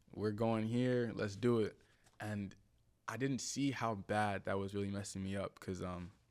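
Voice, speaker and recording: Recorded very cleanly against a silent background, a man with a New Jersey accent talks at a moderate pace, fairly low in pitch and fairly even in intonation. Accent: New Jersey American. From New Jersey, US (Willingboro). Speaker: content creator and former model. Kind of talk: podcast interview. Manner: casual.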